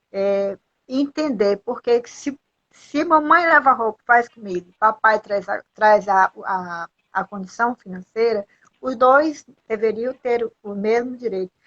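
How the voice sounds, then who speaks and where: At a fairly slow pace, a woman speaks with lively intonation and fairly high pitch, in a dry, close sound with no echo. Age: 60s. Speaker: motivational speaker. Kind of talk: live stream interview. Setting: live video call. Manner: halting.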